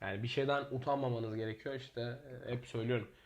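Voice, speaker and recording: Somewhat breathy, a man speaks at a moderate pace with a medium pitch. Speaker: podcast co-host, entrepreneur. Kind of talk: casual chat.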